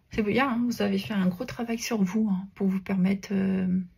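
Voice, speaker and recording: A somewhat breathy woman at medium pitch with fairly even intonation. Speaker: tarot card reader. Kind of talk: tarot reading guidance. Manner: hesitant, many filler sounds.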